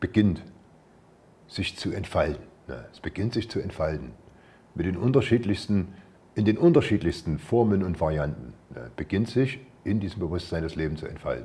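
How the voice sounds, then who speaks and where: A man with vocal fry speaks in a dark, mellow tone at a very deep, low pitch and a moderate pace. His loudness swings a lot, and his pauses are long and frequent. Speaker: spiritual teacher. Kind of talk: spiritual talk. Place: home room. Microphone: lapel.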